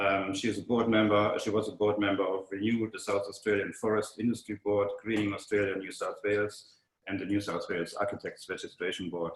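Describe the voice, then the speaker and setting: This man speaks with a German accent and a fairly low pitch. He moves at a fairly quick pace with monotone, flat intonation. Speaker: webinar moderator. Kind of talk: speaker introduction. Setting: online webinar. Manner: halting, many fillers.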